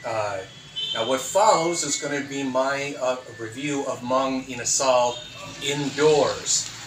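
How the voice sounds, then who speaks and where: Over noticeable background noise, a man talks at a very slow pace in a fairly high pitch with ordinary pitch variation. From United States. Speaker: food reviewer. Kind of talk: casual talk to camera. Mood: upbeat, friendly. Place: home room. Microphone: phone near.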